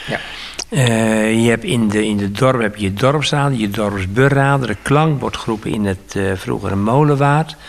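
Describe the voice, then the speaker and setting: This man has a medium pitch and ordinary pitch variation. He talks at a fairly slow pace, with noticeable background noise. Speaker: radio interviewer. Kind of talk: interview. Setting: studio.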